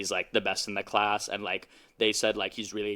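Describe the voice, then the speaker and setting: Very cleanly recorded against a silent background, a man with an American accent speaks in a fairly low pitch with a bright, sharp tone. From US South. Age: 20s. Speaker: creative writer. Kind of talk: casual chat.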